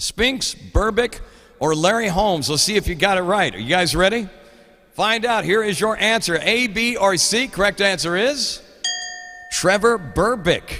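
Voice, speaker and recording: Over noticeable background noise and audible room echo, a man with an American accent uses a raised, projected voice and an animated tone, speaking at a moderate pace with high pitch and ordinary pitch variation. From Oklahoma. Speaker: radio show host. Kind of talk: trivia segment on live radio show. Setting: studio.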